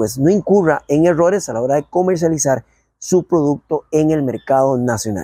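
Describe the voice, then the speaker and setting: Over a quiet background, a man talks at a fairly quick pace with lively intonation. His tone is dark and mellow, and the sound is dry with no echo. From Costa Rica. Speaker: agricultural radio program host. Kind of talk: radio program presenting. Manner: formal. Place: open country. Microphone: lapel.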